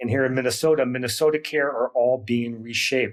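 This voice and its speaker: Moderate pace and ordinary pitch variation in a man's a normal speaking voice. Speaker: retirement counselor and podcast host. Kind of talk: interview.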